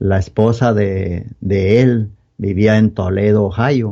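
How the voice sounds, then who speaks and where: A man's fairly low, dark, mellow voice at a very slow pace with fairly even intonation. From Mexico, Guanajuato (Moroleón). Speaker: church member giving testimony. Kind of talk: testimony. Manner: halting.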